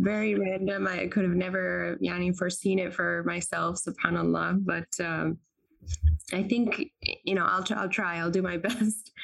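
A woman is speaking. Her pace is moderate. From US South, North Carolina. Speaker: law student and clothing entrepreneur. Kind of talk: interview.

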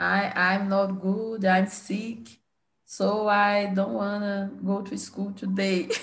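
Speaking at a very slow pace in a Brazilian accent, the voice is somewhat breathy, with fairly even intonation. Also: woman. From Belo Horizonte, Brazil. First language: Portuguese. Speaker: English learner. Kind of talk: casual conversation practice. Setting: video call. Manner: halting, mixes Portuguese words.

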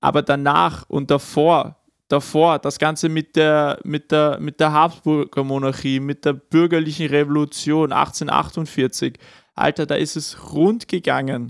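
Very slowly and with fairly even intonation, a man speaks in a fairly high voice. The recording is very clean and dry, close with no echo and a silent background. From Upper Austria (Kremsmünster). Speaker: podcast co-host. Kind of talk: casual chat.

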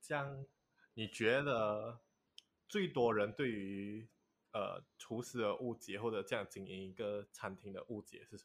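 Speaking at a fairly slow pace, a man with an unremarkable speaking voice and medium pitch shows ordinary pitch variation and big swings in loudness. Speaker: podcast host. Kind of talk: casual chat.

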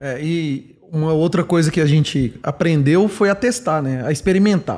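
A man with a high pitch and lively intonation is heard in a very clean recording with a silent background. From Minas Gerais, Brazil (Belo Horizonte). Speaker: product manager. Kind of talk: podcast interview. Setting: company office.

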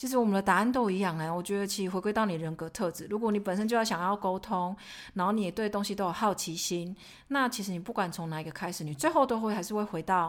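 A woman at medium pitch, with ordinary pitch variation and a very fast pace. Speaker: podcast co-host, finance professional. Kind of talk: casual chat.

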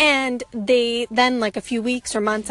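A woman speaks at a fairly high pitch. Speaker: fitness and yoga business owner, podcaster. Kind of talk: casual solo monologue. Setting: in a parked car. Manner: rambling, casual.

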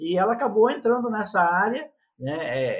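A man at a fairly slow pace. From Brazil, Rio de Janeiro state and São Paulo. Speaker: leadership mentor and speaker. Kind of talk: interview conversation.

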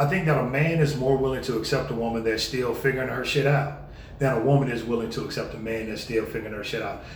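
A man speaks at medium pitch and a very fast pace, with noticeable background noise and audible room echo. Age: 30s. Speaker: podcast co-host. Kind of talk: casual chat.

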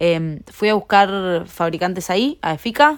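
This woman speaks in a Rioplatense accent on a very clean recording with a silent background. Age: 20s. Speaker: fashion entrepreneur. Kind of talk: interview. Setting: company warehouse.

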